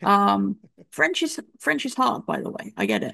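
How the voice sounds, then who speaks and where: A woman with an English accent, in a quiet background. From England. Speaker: football journalist. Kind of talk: casual chat.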